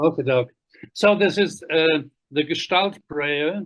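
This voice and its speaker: A man talks at a very slow pace with a German accent. His intonation is fairly even. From Germany. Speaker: Gestalt practitioner. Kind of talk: online conference lecture.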